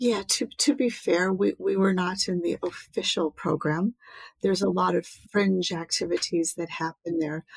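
Soft-spoken and with an American accent, a woman talks at a moderate pace in a dry, close sound with no echo. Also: medium pitch for a woman, ordinary pitch variation. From US. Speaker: public speaker and environmentalist. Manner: soft-spoken, gentle.

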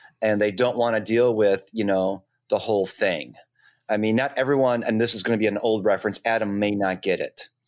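A man talks at a fairly quick pace in a fairly low voice, with fairly even intonation and very even loudness. It is an ordinary speaking voice on a very clean recording with a silent background. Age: 50s. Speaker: podcast co-host. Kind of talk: casual chat.

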